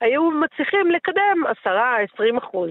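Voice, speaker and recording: A woman is speaking. Her pitch swings very widely. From Israel, Netanya. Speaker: politician. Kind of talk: interview.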